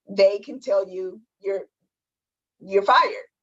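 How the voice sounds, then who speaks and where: With an American accent, a woman uses an ordinary speaking voice at a medium pitch, moderate pace and fairly even intonation. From Detroit. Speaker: aerospace engineer turned entrepreneur. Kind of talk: webinar panel answer.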